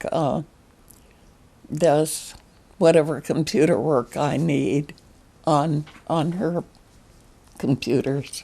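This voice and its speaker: A woman with a very deep, low pitch and a dark, mellow tone, at a very slow pace with long, frequent pauses. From Alaska. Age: 90s. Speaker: artist. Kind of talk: interview.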